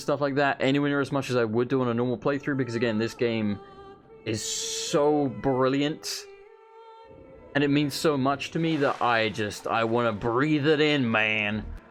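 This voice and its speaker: Ordinary pitch variation at a moderate pace, over background music. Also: man. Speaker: let's play gamer. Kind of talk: gameplay commentary.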